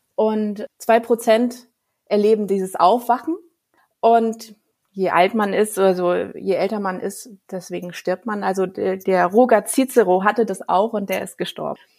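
Her intonation stays fairly even at a medium pitch. The woman talks at a fairly slow pace. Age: 30s. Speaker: children's book author and illustrator. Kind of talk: interview. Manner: halting.

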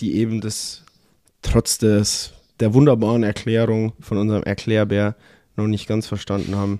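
Over a very clean recording with a silent background, a man speaks fairly slowly in a dark, mellow tone at a medium pitch. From southern Germany. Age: 20s. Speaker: podcast host, professional footballer. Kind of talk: casual chat.

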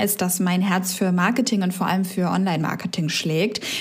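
With noticeable background noise and audible room echo, a woman speaks at a medium pitch and a moderate pace. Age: 30s. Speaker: podcast co-host, former self-employed marketer. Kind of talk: casual chat.

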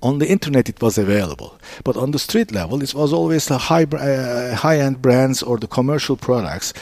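Noticeable background noise sits behind a man with a medium pitch and lively intonation. He talks at a fairly quick pace with hardly any pauses. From Istanbul, Turkey. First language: Turkish. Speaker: business founder. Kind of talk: interview. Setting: in his store. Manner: halting.

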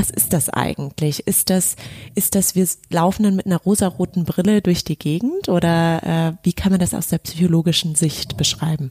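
Somewhat breathy and dark, mellow in tone, a woman's voice moves at a moderate pace with ordinary pitch variation. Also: dry, close sound with no echo. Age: 30s. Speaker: podcast host and business manager. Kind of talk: casual chat. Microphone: poor sound quality in first episode.

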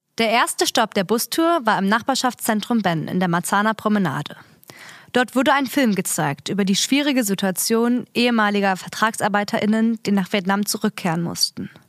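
A plain, everyday voice: a woman at a fairly high pitch, moderate pace, lively intonation and very even loudness, in a very clean, dry, close recording with no echo and a silent background. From Berlin. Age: 20s. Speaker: community radio presenter. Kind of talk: scripted narration. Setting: studio.

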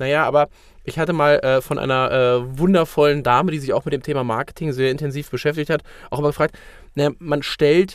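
Recorded very cleanly with a silent background, a man's voice comes across with a fairly high pitch. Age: 30s. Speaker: sales consultant and podcast co-host. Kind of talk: casual chat. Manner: hesitant with many fillers.

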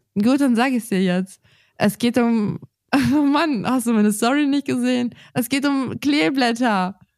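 In a very clean recording with a silent background, a woman speaks fairly slowly at a fairly high pitch, with ordinary pitch variation and very even loudness. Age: 20s. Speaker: gardening podcast co-host. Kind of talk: casual chat.

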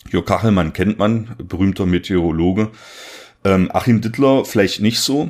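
A man speaks in an ordinary speaking voice at a fairly low pitch and a moderate pace. His pitch variation is ordinary and his loudness is very even. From southern Saxony-Anhalt, Germany. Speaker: soil science podcast host. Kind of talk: casual chat. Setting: remote recording.

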